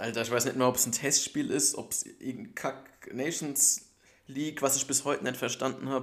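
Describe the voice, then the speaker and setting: Here is a man with an ordinary speaking voice at medium pitch. He talks at a moderate pace with ordinary pitch variation. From Germany, Bergstraße district (southern Hesse). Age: 20s. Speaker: football podcast co-host. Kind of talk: casual chat.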